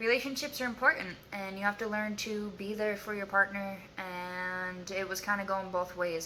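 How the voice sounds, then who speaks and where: Over noticeable background noise, a woman speaks at medium pitch and a moderate pace with ordinary pitch variation. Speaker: YouTuber sharing abuse survivor story. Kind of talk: casual vlog to camera. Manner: halting, filler-heavy.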